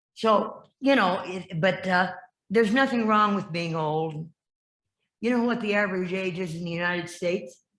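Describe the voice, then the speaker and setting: A woman with an American accent, medium pitch and moderate pace, in audible room echo. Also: ordinary pitch variation. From Iowa, US Midwest. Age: 80s+. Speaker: lay service leader. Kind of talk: informal talk. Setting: church service. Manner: halting.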